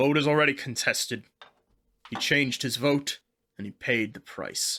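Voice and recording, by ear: A put-on character voice with a bright, sharp tone and a slightly husky edge moves at a fairly slow pace with ordinary pitch variation. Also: man, medium pitch for a man.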